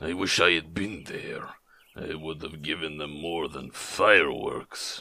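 A man puts on a character voice at a very deep, low pitch, rumbling along at a fairly slow pace. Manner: muttered, grumbling.

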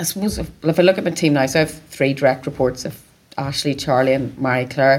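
Over noticeable background noise, a woman with a Northern Irish accent talks at a very fast pace, with a very deep, low pitch and fairly even intonation. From Northern Ireland, County Down. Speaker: sales and marketing director. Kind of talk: interview. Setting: event venue.

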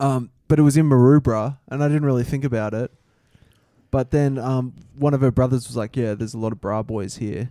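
Recorded dry and close with no echo, a man with a medium-pitched, dark, mellow voice speaks at a fairly quick pace with fairly even intonation. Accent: Australian. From Australia. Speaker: podcast co-host. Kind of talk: casual chat.

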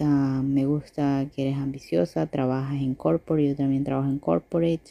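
At a moderate pace, a woman speaks in a very deep, low voice. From Ecuador. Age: 30s. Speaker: listener submitting a question. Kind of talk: recorded voice message question. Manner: hesitant, many fillers.

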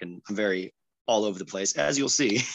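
In a Californian accent, a man speaks with a fairly low pitch. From San Diego, California (Chula Vista). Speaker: singer-songwriter. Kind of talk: casual interview chat.

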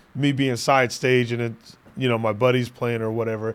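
In an animated tone, a man talks at a medium pitch. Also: very clean recording, silent background. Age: 30s. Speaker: podcast host. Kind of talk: casual chat.

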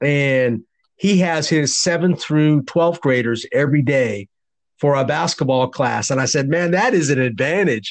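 A normal speaking voice with ordinary pitch variation moves at a moderate pace. Its loudness stays very even. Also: man, fairly high pitch for a man. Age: 50s. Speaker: podcast host, basketball coach. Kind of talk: interview. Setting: phone call.

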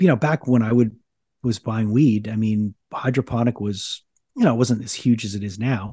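A man talks at a medium pitch and moderate pace, with a dark, mellow, somewhat breathy tone and ordinary pitch variation. The sound is dry and close with no echo, over a quiet background. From Quebec, Canada. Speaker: radio DJ and rock singer. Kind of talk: casual interview chat. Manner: halting, frequent repetitions and fillers.

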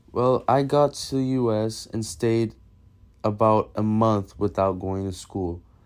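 A plain, everyday voice at a fairly slow pace, with ordinary pitch variation, on a very clean recording with a silent background. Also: man, fairly low pitch for a man. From Massachusetts and Brazil. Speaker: storyteller. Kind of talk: personal story reading.

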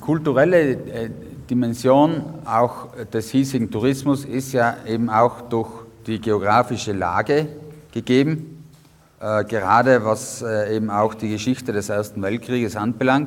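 Background noise is noticeable as a man talks at a fairly slow pace. His pitch is medium, with ordinary variation. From South Tyrol, Italy (Innichen). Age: young. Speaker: historian and museum curator. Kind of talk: guided tour interview. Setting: on location at a mountain fortress. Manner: hesitant with many fillers.

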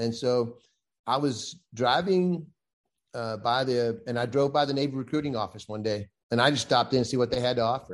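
A man with a Southern US accent talks at a fairly quick pace in a medium pitch. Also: ordinary pitch variation, quiet background. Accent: Southern US (Georgia). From US South, West Central Georgia. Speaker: Navy veteran, sports official and golfer. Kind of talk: casual chat.

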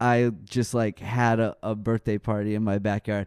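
With an American accent and flat, monotone intonation, the voice has a dry, close sound with no echo against a quiet background. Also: man. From Texas, Dallas. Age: 30s. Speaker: metal band musician. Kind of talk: casual chat. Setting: studio.

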